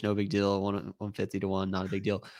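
A man with a normal speaking voice talks at a fairly low pitch and a fairly quick pace. The recording is very clean, with a silent background. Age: 30s. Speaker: golf betting writer. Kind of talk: casual chat.

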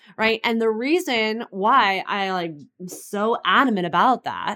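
In a very clean recording with a silent background, a woman with an American accent and an unremarkable speaking voice talks at a fairly high pitch with lively intonation. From California. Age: 30s. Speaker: online fitness and business coach. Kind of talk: interview.

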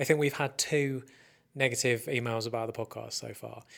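Recorded very cleanly against a silent background, a man with an English accent talks at medium pitch and a fairly quick pace with fairly even intonation. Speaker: podcast host. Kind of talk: casual chat. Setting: studio.

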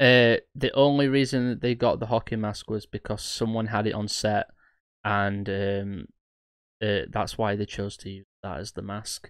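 A man with a plain, everyday voice, fairly low in pitch, at a fairly slow pace, with fairly even intonation and big swings in loudness, in a very clean recording against a silent background. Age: 20s. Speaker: horror podcast host. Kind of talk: casual chat.

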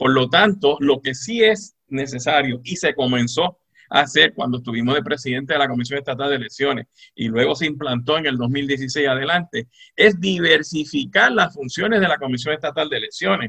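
Speaking at a moderate pace with a Puerto Rican accent, a man uses a fairly high pitch with ordinary pitch variation. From Puerto Rico, Moca. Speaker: retired judge and law professor. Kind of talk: radio interview. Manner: halting.

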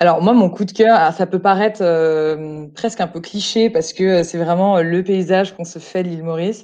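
This woman's pitch is fairly low and her intonation fairly even. She speaks with hardly any pauses. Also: moderate pace. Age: 30s. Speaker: hotel group employee, expatriate. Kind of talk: casual interview. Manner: halting.

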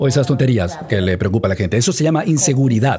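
A man talks very quickly with noticeable background noise behind him. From New York (Queens), US. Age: 40s. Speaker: motivational speaker. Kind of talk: talk to students. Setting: stage with audience.

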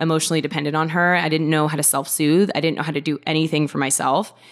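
An animated woman with an American accent and a very deep, low pitch, over noticeable background noise. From US Pacific Northwest, Seattle. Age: 20s. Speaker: reality TV cast member. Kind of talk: casual chat.

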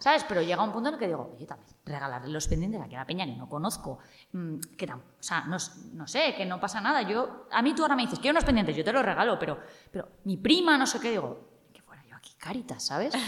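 A woman talks at a very fast pace with very wide pitch swings. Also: medium pitch for a woman. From Spain, Cuenca. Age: 30s. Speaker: journalist. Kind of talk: casual interview.

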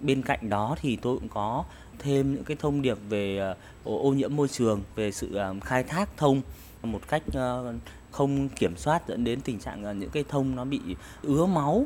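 The speaker is a man with a medium pitch. He talks at a fairly slow pace with ordinary pitch variation. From Vietnam, Thanh Hóa province. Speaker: writer. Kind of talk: interview. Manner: halting.

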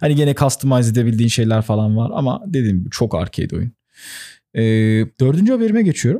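On a very clean recording with a silent background, a man talks at a very fast pace with lively intonation, medium pitch and a dark, mellow tone. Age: 20s. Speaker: gaming podcast co-host. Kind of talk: casual chat.

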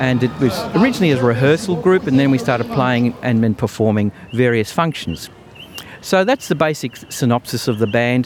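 With lively intonation and very even loudness, a man talks over noticeable background noise. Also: medium pitch for a man, moderate pace. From Australia, Melbourne. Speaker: band leader and clarinettist. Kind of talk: interview. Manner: halting.

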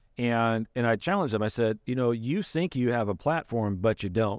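An ordinary speaking voice from a man with an American accent, medium in pitch with ordinary pitch variation, at a fairly quick pace, in a dry, close sound with no echo on a very clean recording with a silent background. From Michigan. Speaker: pastor. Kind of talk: casual chat.

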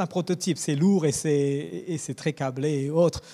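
A dark, mellow tone moves at a very slow pace in a very clean recording with a silent background. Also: man. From Mauritius, raised in Madagascar and East/West Africa. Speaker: church media engineer. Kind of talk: interview. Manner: halting.

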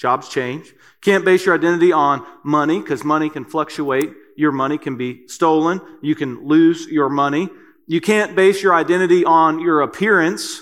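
Ordinary pitch variation and a moderate pace in a man's fairly high-pitched voice. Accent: Kentucky. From Kentucky. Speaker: preacher. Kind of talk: sermon. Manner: hesitant, many fillers.

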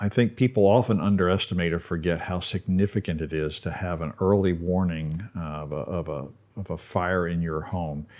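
Against a quiet background, a man with a very deep, low pitch and ordinary pitch variation speaks at a moderate pace with hardly any pauses. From Baltimore. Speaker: retiree who relocated. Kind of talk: interview.

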